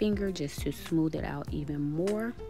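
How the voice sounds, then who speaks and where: The speaking is fairly slow. Background music can be heard. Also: woman. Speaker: home DIY vlogger. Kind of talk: tutorial voice-over narration.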